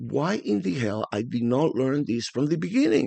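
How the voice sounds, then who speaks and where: A man with a strong Spanish accent speaks at a moderate pace and medium pitch. His tone is dark and mellow, with lively intonation. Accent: thick Spanish. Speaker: forex trading educator. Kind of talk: tutorial. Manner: casual, animated.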